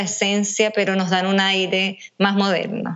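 A woman talks at medium pitch. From Venezuela. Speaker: nutritionist. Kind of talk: casual interview.

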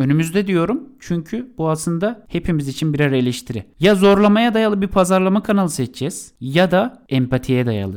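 The voice moves at a moderate pace with very wide pitch swings and hardly any pauses. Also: man. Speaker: podcast co-host on marketing. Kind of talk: podcast monologue on marketing.

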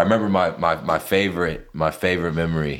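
Vocal fry runs through this voice with an American accent. The pace is fairly quick and the intonation fairly even. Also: man. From North Carolina, Lexington. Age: 20s. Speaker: rapper. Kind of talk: casual interview.

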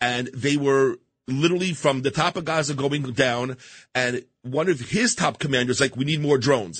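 This man talks at a moderate pace in a fairly high voice with ordinary pitch variation. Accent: New York. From Queens, New York. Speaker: business executive and volunteer. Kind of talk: radio interview. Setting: radio studio.

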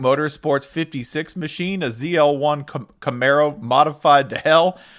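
On a very clean recording with a silent background, a man speaks in a normal speaking voice, fairly high-pitched with ordinary pitch variation. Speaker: podcast host. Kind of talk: casual banter podcast.

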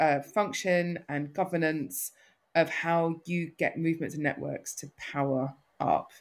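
In a north London accent, a woman speaks very slowly with a very deep, low pitch and monotone, flat intonation, on a very clean recording with a silent background. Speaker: social enterprise founder and CEO. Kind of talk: casual interview conversation. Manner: hesitant, filler-heavy.

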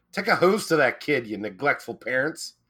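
The recording is very clean with a silent background, carrying a man's bright, sharp tone, lively intonation and fairly slow pace. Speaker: podcast co-host. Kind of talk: casual chat.

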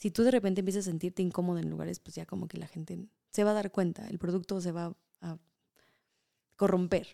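A woman's medium-pitched voice, very fast, with long, frequent pauses, big swings in loudness, a dark, mellow tone, and dry, close sound with no echo. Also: fairly even intonation. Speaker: culinary tour guide. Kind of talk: casual chat.

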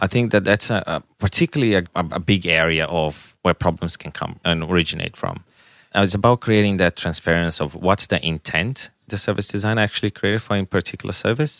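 In a very clean recording with a silent background, a man with a Brazilian accent speaks fairly quickly in a very deep, low voice. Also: ordinary pitch variation, dry, close sound with no echo. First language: Portuguese. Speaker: design director.

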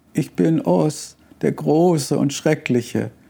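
Putting on a character voice, a man speaks shakily at a fairly slow pace, his pitch fairly high. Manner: trembling, frightened.

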